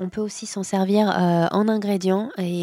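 With a dark, mellow tone and a medium pitch, a woman speaks at a moderate pace in a dry, close sound with no echo. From cold country. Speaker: coffee shop owner. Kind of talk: casual chat. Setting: coffee shop.

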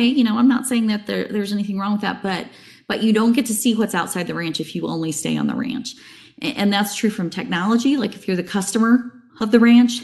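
A woman with an American accent and a fairly high pitch speaks at a fairly quick pace, somewhat breathy, with ordinary pitch variation. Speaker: banking technology sales executive. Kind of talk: casual interview.

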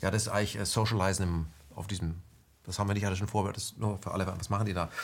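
A man with an ordinary speaking voice talks at a fairly low pitch with fairly even intonation. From West Germany. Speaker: interview host. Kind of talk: interview.

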